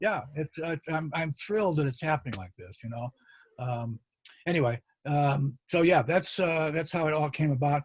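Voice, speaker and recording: A man with a fairly high, somewhat breathy voice speaks at a moderate pace with ordinary pitch variation, the sound dry and close with no echo. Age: 70s. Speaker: magician. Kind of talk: interview. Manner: halting, many fillers and restarts.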